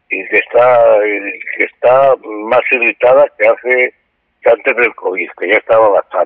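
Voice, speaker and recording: The speaker goes at a fairly slow pace. Long pauses come often. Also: man. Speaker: political science professor. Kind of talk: lecture-style conversation.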